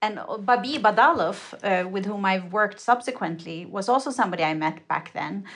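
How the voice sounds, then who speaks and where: A woman with a Swedish accent talks at a medium pitch and a fairly quick pace. Her intonation is lively. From Sweden. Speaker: curator. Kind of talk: interview.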